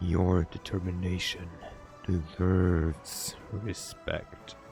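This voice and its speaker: A man's put-on character voice, very deep and low, at a very slow pace over clear background music. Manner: formal, respectful.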